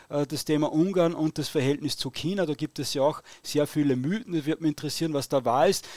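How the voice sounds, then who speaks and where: A man with an Austrian accent speaks at a fairly quick pace with a fairly high pitch and fairly even intonation, in a very clean recording with a silent background and a dry, close sound with no echo. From Austria, Upper Austria. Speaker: podcast host. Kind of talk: interview. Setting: live stream.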